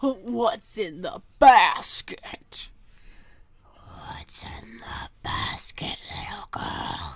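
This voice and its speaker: This is a put-on character voice with a raspy sound. The delivery is very slow. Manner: feigned kindness.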